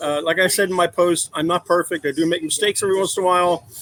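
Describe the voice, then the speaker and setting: Loud and with an American accent, a man speaks in a high pitch with fairly even intonation, the sound dry and close with no echo. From Philadelphia area, US. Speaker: adoptive father. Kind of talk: podcast interview.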